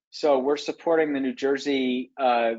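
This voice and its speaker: An ordinary speaking voice from a man at medium pitch and a moderate pace. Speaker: workforce policy researcher. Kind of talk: presentation to a committee. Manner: many filler words.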